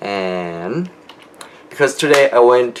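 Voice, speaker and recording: A man mumbles with ordinary pitch variation. Noticeable background noise sits behind him. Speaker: video blogger. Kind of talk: video diary monologue. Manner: mumbling; hesitant, many fillers.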